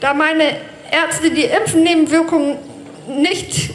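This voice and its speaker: Amid noticeable background noise and audible room echo, a woman talks at a fairly slow pace. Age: 40s. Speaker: bus driver speaking at a protest rally. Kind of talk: prepared speech at a rally. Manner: read from a script.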